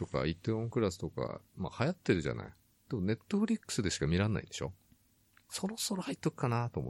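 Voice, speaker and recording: A man races along at a very fast pace with very wide pitch swings and vocal fry, in a dry, close sound with no echo. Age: 50s. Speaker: podcast co-host. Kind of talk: casual chat. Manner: laughs often.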